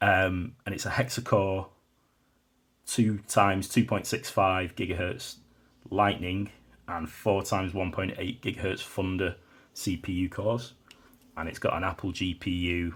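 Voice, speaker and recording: In a British accent, a man with a very deep, low pitch speaks at a fairly slow pace with fairly even intonation, a somewhat breathy sound and long, frequent pauses, on a very clean recording with a silent background. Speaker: tech reviewer. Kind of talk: product review. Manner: casual, with fillers.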